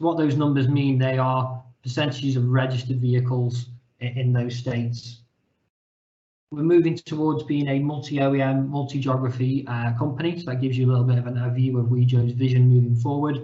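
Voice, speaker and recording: A man's somewhat breathy, dark, mellow voice with a British accent, medium pitch, monotone, flat intonation and a fairly quick pace. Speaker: company representative presenting data product. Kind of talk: webinar presentation. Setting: online webinar call.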